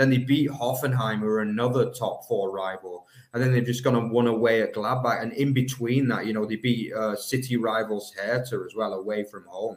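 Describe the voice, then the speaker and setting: A man with an English accent speaks at a moderate pace and a medium pitch, with fairly even intonation, hardly any pauses and noticeable background noise. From England. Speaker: football podcast co-host. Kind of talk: casual chat.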